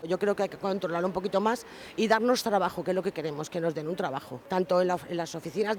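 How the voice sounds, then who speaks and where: Against noticeable background noise, a man with a high pitch and ordinary pitch variation speaks at a very fast pace. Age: 60s. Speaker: unemployed passer-by. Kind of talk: vox pop interview.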